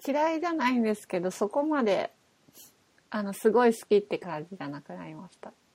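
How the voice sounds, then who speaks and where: A woman speaks at a fairly high pitch. Her pitch swings very widely, and her loudness swings a lot too. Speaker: podcast co-host. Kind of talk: casual chat.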